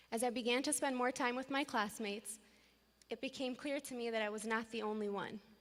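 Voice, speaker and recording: The voice is shaky, with an American accent. It moves at a fairly quick pace with fairly even intonation. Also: woman, high pitch for a woman. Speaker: graduating student, class president. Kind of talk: commencement speech. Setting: graduation ceremony with audience.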